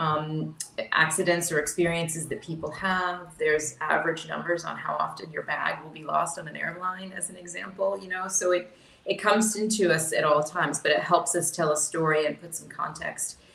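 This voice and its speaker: A woman with an American accent speaks at a moderate pace and a fairly low pitch, her intonation fairly even and her loudness swinging widely, over noticeable background noise. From US South. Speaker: insurance executive, panellist. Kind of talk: panel discussion.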